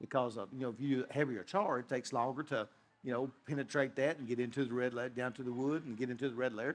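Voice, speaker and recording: A very fast-talking man with a Kentucky accent. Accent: Kentucky Southern US. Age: 60s. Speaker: whiskey distiller. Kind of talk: interview. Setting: festival talk show. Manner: halting, many fillers.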